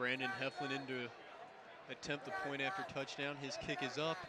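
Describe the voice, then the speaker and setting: An excited man with a fairly high pitch and ordinary pitch variation talks over noticeable background noise. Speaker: play-by-play announcer. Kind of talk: live sports play-by-play commentary. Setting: broadcasting live from a football game. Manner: fast, rapid-fire play-by-play delivery, excited at touchdowns; animated.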